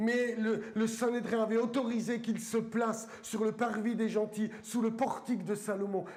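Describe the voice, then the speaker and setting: With a strong eastern French accent, the speaker goes at a fairly slow pace in a monotone, flat intonation over noticeable background noise. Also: man, high pitch for a man. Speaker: pastor. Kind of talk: sermon. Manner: halting, many fillers.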